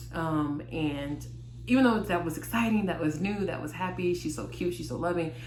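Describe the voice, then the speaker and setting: A woman speaks in an animated tone. There is audible room echo. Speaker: lifestyle vlogger. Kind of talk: casual vlog monologue. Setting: daughter's bedroom.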